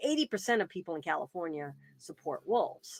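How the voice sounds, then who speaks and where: In an American accent, a woman talks at a very fast pace with very wide pitch swings. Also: dry, close sound with no echo. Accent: Boston, still comes out. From Boston, New England. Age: 50s. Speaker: wildlife advocate and author. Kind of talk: interview conversation. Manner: hesitant, many fillers and restarts.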